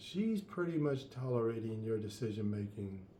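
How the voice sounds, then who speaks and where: A man speaks at a fairly low pitch in a somewhat breathy voice at a moderate pace. Audible room echo surrounds him. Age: 70s. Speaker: life coach. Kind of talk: advice monologue.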